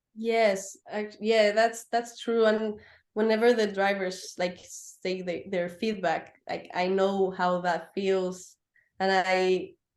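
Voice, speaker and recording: A woman with a Spanish accent speaks at a very slow pace and medium pitch. The background is quiet and her intonation fairly even. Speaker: racing driver and motorsport technician. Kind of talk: interview. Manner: halting, many fillers.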